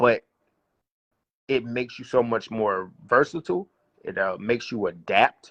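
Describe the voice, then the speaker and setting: In a strong Southern US accent, a man speaks at a medium pitch with lively intonation and a moderate pace, broken by long, frequent pauses. The sound is dry and close with no echo, over a quiet background. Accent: thick Southern US. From US South. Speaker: battle rapper. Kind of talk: casual interview.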